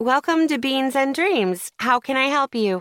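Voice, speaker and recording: In a put-on character voice, a woman speaks at a high pitch and moderate pace with lively intonation and very even loudness, in a dry, close, very clean recording with no echo and a silent background. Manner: sweet, fake cheerful.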